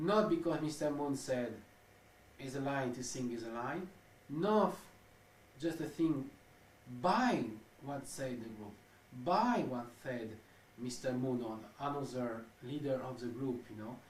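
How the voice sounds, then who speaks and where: In a French accent, a man at medium pitch with ordinary pitch variation speaks at a fairly slow pace with long, frequent pauses, amid noticeable background noise and audible room echo. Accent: French-accented non-native English. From France. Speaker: ex-cult researcher interviewee. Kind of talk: interview. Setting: interview in Tokyo. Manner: halting, searching for words.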